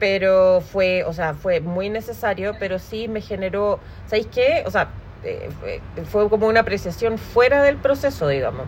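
A woman with a Chilean accent talks fairly slowly at a medium pitch, her intonation lively. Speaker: podcast host. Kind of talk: casual chat.

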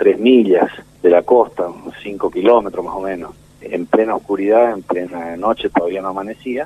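A man with a fairly low pitch keeps a moderate pace while background noise is clearly heard. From Argentina. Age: 60s. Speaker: war veteran. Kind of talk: testimony. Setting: phone call.

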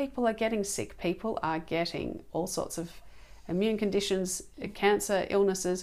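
An Australian accent at a moderate pace, with ordinary pitch variation and big swings in loudness. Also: woman, medium pitch for a woman. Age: 40s. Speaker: organic food advocate. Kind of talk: casual chat.

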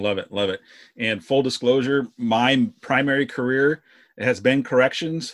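On a very clean recording with a silent background, a man talks in a plain, everyday voice at a medium pitch and a fairly slow pace, with ordinary pitch variation. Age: 40s. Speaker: podcast host, corrections professional. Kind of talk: interview podcast.

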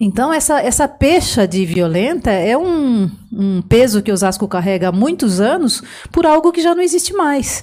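At a moderate pace, a woman speaks in a dark, mellow tone at a fairly high pitch, with very wide pitch swings and very even loudness. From São Paulo interior, Piedade (Sorocaba region). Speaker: police colonel. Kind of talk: interview. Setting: studio.

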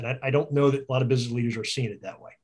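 A man speaks with an American accent at a medium pitch. His voice is somewhat breathy, with fairly even intonation. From US Northeast (Philadelphia suburbs). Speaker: business consultant. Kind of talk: casual interview.

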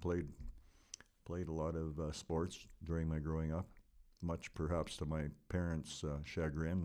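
A man with a Canadian Prairie accent, very deep and low in pitch, monotone and flat at a moderate pace. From Lloydminster area, western Canada. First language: Ukrainian. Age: 70s. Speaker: local businessman. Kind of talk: interview, life story.

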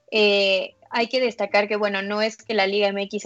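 Flat, monotone intonation from a woman at medium pitch, moving at a moderate pace. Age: 20s. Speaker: women's football press officer. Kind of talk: interview.

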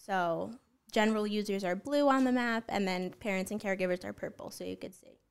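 An unremarkable speaking voice: a woman with an American accent, at medium pitch with ordinary pitch variation. She talks at a fairly quick pace in a very clean recording with a silent background. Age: 20s. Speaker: app founder. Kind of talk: podcast interview.

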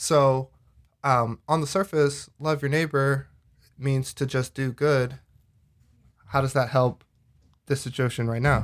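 Speaking with an American accent, a man moves at a fairly slow pace with fairly even intonation and long, frequent pauses. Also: fairly high pitch for a man. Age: 20s. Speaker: podcast editor. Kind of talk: casual chat. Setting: video call. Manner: halting.

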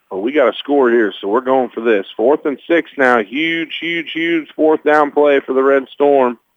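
A man speaks with an American accent in an unremarkable speaking voice, fairly high in pitch with ordinary variation. His pace is moderate, with hardly any pauses. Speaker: radio play-by-play announcer. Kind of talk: live sports commentary, play-by-play. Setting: broadcast booth, press box at stadium.

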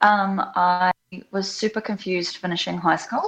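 A woman with a New Zealand accent at a fairly slow pace. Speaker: facial acupuncturist. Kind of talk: interview. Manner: animated.

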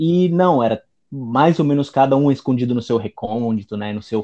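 Here is a man with a normal speaking voice. His pitch is medium, and his pace is moderate. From Italy. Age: 20s. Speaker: Italian teacher and writer. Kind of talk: casual chat.

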